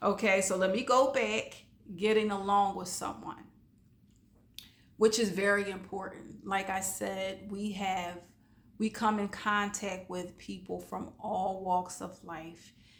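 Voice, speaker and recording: In a very slow, monotone delivery with flat intonation, a woman talks amid audible room echo. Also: medium pitch for a woman. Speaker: life coach. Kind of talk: motivational talk. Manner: casual, conversational.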